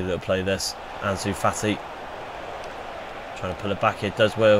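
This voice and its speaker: A man speaks in a fairly low, monotone, flat voice. Noticeable background noise runs underneath. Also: moderate pace. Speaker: gaming YouTuber. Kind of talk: gameplay commentary. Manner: casual, self-correcting.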